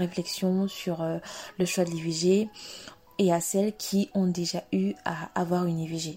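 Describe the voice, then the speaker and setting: A woman's medium-pitched voice, dark, mellow and somewhat breathy, with monotone, flat intonation. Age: 20s. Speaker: podcast host. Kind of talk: solo podcast introduction.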